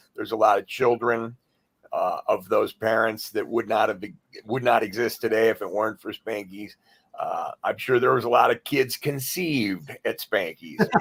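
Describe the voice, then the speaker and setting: Here a man talks with an American accent at a moderate pace. The sound is dry and close, with no echo. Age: 50s. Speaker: DJ. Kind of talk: casual interview chat.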